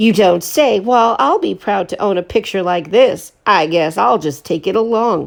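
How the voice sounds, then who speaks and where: A female-sounding voice in a put-on character is raised and projected, at a middle pitch and moderate pace. The background is quiet. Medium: read story. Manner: rough, taunting.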